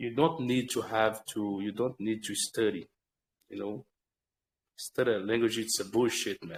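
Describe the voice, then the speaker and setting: Speaking at a fairly slow pace with a Portuguese accent, a man keeps a medium pitch and fairly even intonation in a dry, close recording with no echo. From Brazil. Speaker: English language learner. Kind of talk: casual chat. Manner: halting.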